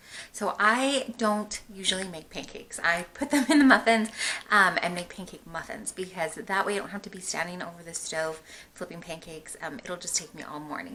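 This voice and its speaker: Against noticeable background noise, a woman at medium pitch talks very fast with lively intonation. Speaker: homeschooling mom vlogger. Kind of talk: casual vlog narration.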